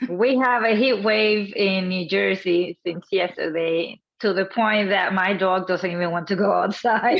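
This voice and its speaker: A woman with a Spanish accent speaks at a fairly slow pace with ordinary pitch variation. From Dominican Republic. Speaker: contributing author, business owner. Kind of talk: interview. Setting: live stream.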